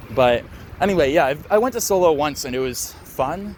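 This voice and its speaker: With lively intonation and a moderate pace, a man talks while noticeable background noise fills the recording. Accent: American. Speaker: travel vlogger. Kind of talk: casual walking tour commentary. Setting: outdoors, walking through a city. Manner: casual, with many fillers.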